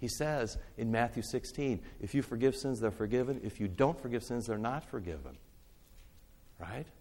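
A man speaks at a medium pitch with ordinary pitch variation. Vocal fry runs through his voice. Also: moderate pace. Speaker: pastor teaching a church class. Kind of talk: bible teaching talk. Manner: loud.

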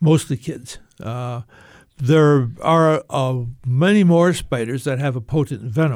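Over a silent background in a very clean recording, a man speaks at a very slow pace with ordinary pitch variation. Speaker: spider expert and author. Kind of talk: casual interview chat. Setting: radio studio.

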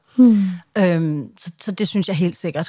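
Very slow speech from a woman at a medium pitch, dark and mellow in tone, with ordinary pitch variation on a very clean recording with a silent background. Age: 40s. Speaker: social media personality and campaigner. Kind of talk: interview. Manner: halting.

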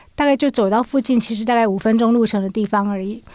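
A woman with a plain, everyday voice speaks at a fairly high pitch with fairly even intonation. The recording is very clean, with a silent background. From Taiwan, urban. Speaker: magazine journalist. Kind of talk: podcast interview.

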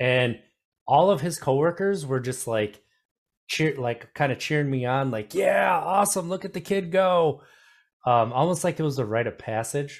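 A man speaks in a plain, everyday voice with a fairly high pitch and lively intonation. His pace is moderate, in a very clean recording with a silent background. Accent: American. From Wisconsin. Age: 30s. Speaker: podcast host. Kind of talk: casual interview chat.

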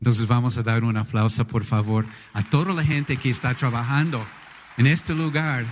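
With an animated tone and a somewhat breathy voice, a man of medium pitch speaks at a moderate pace with ordinary pitch variation and long, frequent pauses. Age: 60s. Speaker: pastor. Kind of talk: sermon. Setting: church.

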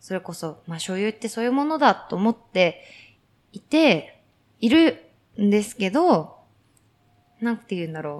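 A woman at medium pitch and a moderate pace, with very wide pitch swings, big swings in loudness, and long, frequent pauses. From Japan, Kumamoto (Kyushu). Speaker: podcast host. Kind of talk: casual chat. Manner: frequent fillers, laughing.

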